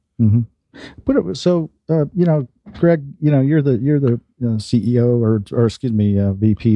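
This man has an ordinary speaking voice, moving along at a fairly quick pace and using ordinary pitch variation. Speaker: radio show host. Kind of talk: radio interview. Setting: studio.

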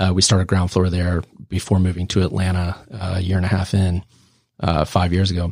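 A man speaks at a very deep, low pitch with a monotone, flat delivery and a somewhat breathy sound. His pace is fairly quick, on a very clean recording with a silent background. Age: 40s. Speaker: startup founder and CEO. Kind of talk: podcast interview.

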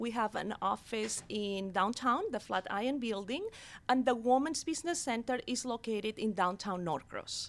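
In a Catalan accent, a woman speaks with a high voice. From Barcelona, Spain. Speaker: women's business center director. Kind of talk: radio interview. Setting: studio.

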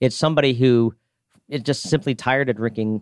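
Here is a man with a normal speaking voice, talking at a fairly quick pace. The sound is dry and close, with no echo. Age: 40s. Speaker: craft beer retail store owner. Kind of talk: radio interview. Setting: studio.

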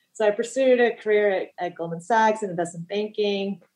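A woman with an American accent, medium in pitch, at a fairly quick pace with ordinary pitch variation, music playing behind her. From US West Coast, Los Angeles. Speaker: financial planner. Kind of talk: interview. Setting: studio.

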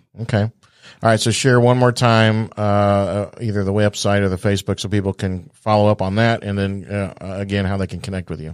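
On a very clean recording with a silent background, a man with a plain, everyday voice speaks at a moderate pace in a fairly low pitch. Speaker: radio host. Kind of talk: radio interview. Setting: studio. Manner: upbeat.

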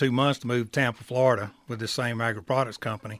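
With a Southern US accent, a man talks at a medium pitch with fairly even intonation. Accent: Southern US (Georgia). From rural middle Georgia. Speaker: bank credit risk director. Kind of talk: casual radio interview.

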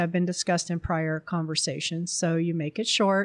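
Speaking with an American accent at a moderate pace, a woman has a fairly low pitch. The sound is dry and close with no echo on a very clean recording with a silent background. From New Jersey. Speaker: artist. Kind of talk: interview. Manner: quiet.

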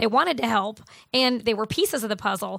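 Over a very clean recording with a silent background, a woman with an American accent speaks at a very fast pace in a fairly high voice, with vocal fry and ordinary pitch variation. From Buffalo, New York. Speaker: fitness coach and business owner. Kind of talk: radio interview. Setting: radio studio.

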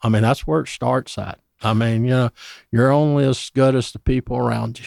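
A man talks with a Southern US accent at a fairly quick pace. The recording is very clean, with a silent background. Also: dry, close sound with no echo. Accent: Southern US (Georgia). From US South, Georgia (Dublin). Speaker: pest control company executive. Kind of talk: radio interview. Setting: radio studio.

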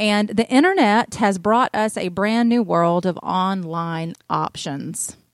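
A woman with a Southern US accent speaks at a very slow pace with hardly any pauses, her medium pitch showing ordinary variation. The sound is dry and close, with no echo. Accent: Southern US (Georgia). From US South, North Georgia. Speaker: real estate agent and radio show host. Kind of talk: casual chat.

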